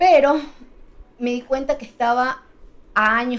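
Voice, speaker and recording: A woman talks at a fairly high pitch. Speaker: travel content creator. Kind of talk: casual chat.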